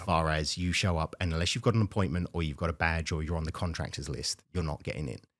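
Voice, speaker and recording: In a British accent with vocal fry, the speaker races at a very fast pace with hardly any pauses, in a dry, close, very clean recording with a silent background and no echo. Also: man, very deep, low pitch for a man, ordinary pitch variation. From United Kingdom. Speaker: vice president of operations at a dryer manufacturer. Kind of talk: podcast interview answer.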